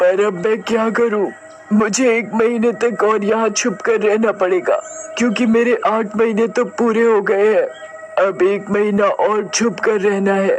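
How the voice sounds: A man speaks in a high, cartoonish character voice at a moderate pace. Background noise is clearly audible.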